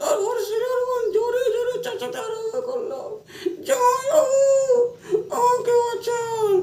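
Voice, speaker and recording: This is a put-on character voice with an extremely high pitch. It moves at a fairly slow pace. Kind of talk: comic overacting. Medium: comedy sketch. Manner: melodramatic, mournful.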